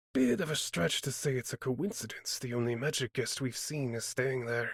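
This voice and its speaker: In a put-on character voice, a man speaks raspily at a medium pitch with ordinary pitch variation. The pace is moderate, and the sound is dry and close with no echo. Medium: read story. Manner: measured, reasoning.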